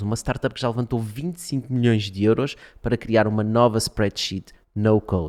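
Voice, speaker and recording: A man uses an ordinary speaking voice at a medium pitch, with ordinary pitch variation and a moderate pace. The very clean recording has a dry, close sound with no echo and a silent background. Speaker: podcast host. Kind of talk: podcast episode intro.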